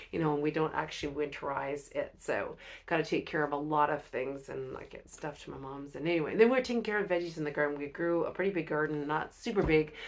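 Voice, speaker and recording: Over noticeable background noise, a woman with a very deep, low pitch races at a very fast pace with hardly any pauses and big swings in loudness. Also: ordinary pitch variation. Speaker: inspirational vlogger. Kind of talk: casual vlog monologue. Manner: halting, many fillers.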